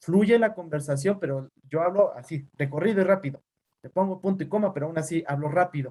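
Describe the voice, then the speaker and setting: A man speaks at a fairly quick pace and a high pitch in a dark, mellow tone. His loudness swings widely, while his pitch variation stays ordinary. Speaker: teacher and physician. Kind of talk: online class lecture. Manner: fast; neutral tone.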